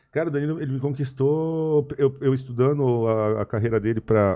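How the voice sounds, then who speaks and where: Against a quiet background, a man talks at a moderate pace. His pitch variation is ordinary. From Brazil. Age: 40s. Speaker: podcast guest. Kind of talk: casual chat. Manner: halting. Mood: reflective, earnest. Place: studio.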